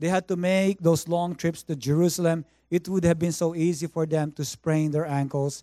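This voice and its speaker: On a very clean recording with a silent background and a dry, close sound with no echo, a man speaks at a moderate pace in a high-pitched, dark, mellow monotone. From Philippines. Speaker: guest pastor. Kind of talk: sermon. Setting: church service with congregation.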